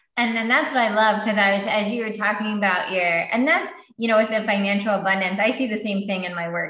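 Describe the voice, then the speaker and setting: A woman speaks with a bright, sharp tone and fairly even intonation. Audible room echo is present. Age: 30s. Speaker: meditation teacher and author. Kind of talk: casual chat.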